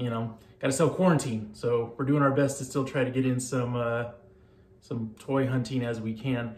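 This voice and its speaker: The speech comes at a moderate pace, with audible room echo. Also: man. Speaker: model channel host. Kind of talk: casual vlog outro. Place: home room.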